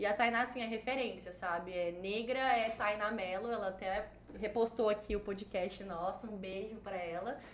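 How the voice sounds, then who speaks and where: A woman speaks at a moderate pace in a fairly high pitch with fairly even intonation, with audible room echo and noticeable background noise. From Cuiabá, Mato Grosso, Brazil. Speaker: travel agency owner and blogger. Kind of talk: casual chat.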